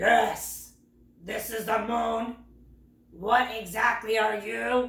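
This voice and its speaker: Using a put-on character voice, a woman speaks very slowly at a fairly high pitch, leaving long, frequent pauses, with a slight echo on the recording. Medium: read story. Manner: friendly, jolly.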